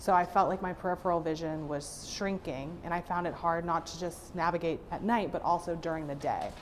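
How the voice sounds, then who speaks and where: Music plays behind a woman with a General American accent and a fairly low voice. She talks fairly quickly in a flat monotone. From Florida, Fort Lauderdale. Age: 20s. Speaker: patient. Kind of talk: testimony.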